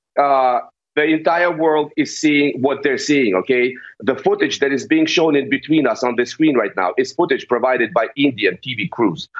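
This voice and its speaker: A man with a Russian accent speaks at a moderate pace in a fairly high pitch with ordinary pitch variation. The background is quiet. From eastern Ukraine (Donetsk). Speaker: political pundit. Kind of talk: heated debate. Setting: video call. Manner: animated. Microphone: video call.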